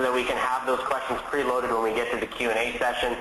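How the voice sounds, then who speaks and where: A man with a Canadian accent talks at a medium pitch and a fairly quick pace, amid noticeable background noise and audible room echo. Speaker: company founder presenting a webinar. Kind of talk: webinar presentation. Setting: online webinar. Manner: fast; hesitant, many fillers and repeats.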